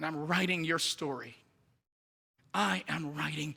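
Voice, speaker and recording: A man speaks at a fairly high pitch with a slight Jamaican accent, a bright, sharp tone, and vocal fry. His delivery is animated, with lively intonation. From Jamaica, Kingston. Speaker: missionary preacher. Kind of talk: sermon.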